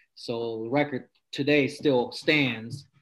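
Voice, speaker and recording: A man with an American accent speaks in an unremarkable speaking voice at medium pitch with ordinary pitch variation against a quiet background. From California, Stockton area. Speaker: powerlifter and police officer. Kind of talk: interview, personal story.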